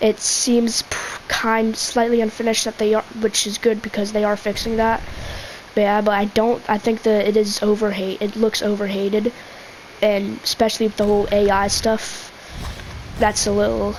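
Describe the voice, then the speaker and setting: A woman speaks at a moderate pace in a fairly high pitch with monotone, flat intonation. Noticeable background noise runs behind her. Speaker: gaming youtuber. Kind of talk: gameplay commentary rant. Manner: halting, stutters; filler-heavy casual.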